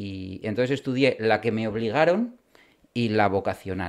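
Recorded very cleanly over a silent background, a man with a plain, everyday voice speaks at a moderate pace, his pitch fairly low with ordinary variation. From Spain, Bilbao (Basque Country). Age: 40s. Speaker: criminal and military lawyer. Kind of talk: interview.

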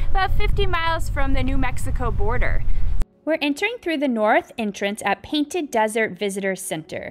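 A woman speaks at a high pitch with very wide pitch swings. Music plays in the background. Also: moderate pace. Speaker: travel vlogger. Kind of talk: casual vlog chat. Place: open country. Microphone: phone near.

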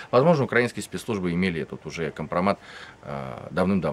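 Lively in intonation, a man with a very deep, low pitch talks at a very fast pace. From Russia. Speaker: Russian opposition activist, political refugee; interviewee. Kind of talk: interview. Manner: halting. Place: garden.

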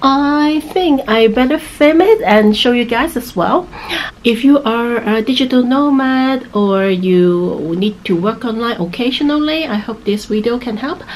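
A woman with a high voice talks at a fairly slow pace over light background noise. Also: lively intonation. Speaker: travel vlogger. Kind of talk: casual vlog chat. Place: home room. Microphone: phone near.

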